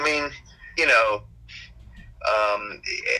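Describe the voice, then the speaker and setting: A man's voice amid noticeable background noise. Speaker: restaurateur. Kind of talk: casual interview.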